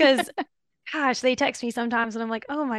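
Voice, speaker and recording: A woman talks at a very fast pace, the sound dry and close with no echo. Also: quiet background. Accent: Louisiana. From Louisiana, US South. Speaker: veterinary dermatologist. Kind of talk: professional interview.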